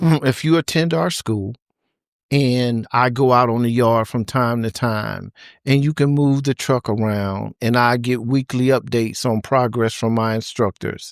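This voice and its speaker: An ordinary speaking voice from a man at medium pitch, fairly slow pace and ordinary pitch variation, in a very clean recording with a silent background and a dry, close sound with no echo. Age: 60s. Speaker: trucking company founder and CDL school owner. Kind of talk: interview.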